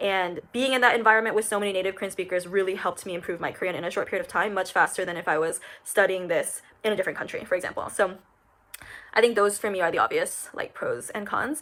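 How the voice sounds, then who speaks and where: With an American accent and a bright, sharp tone, this voice races at a very fast pace with ordinary pitch variation. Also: woman, medium pitch for a woman. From United States. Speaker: interpreting graduate. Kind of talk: casual testimonial talk to camera. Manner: conversational, many fillers.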